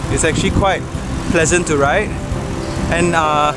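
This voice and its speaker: A man at a moderate pace, dry with no echo, music in the background. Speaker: vlogger. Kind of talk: casual vlog chat. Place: bicycle. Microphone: phone near.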